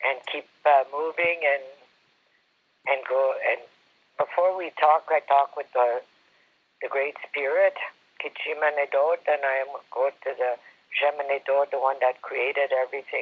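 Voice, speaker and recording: A man with a Canadian accent speaks at a fairly slow pace, leaving long, frequent pauses. His pitch is fairly high and his intonation fairly even. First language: Algonquin. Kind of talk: personal storytelling. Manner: halting.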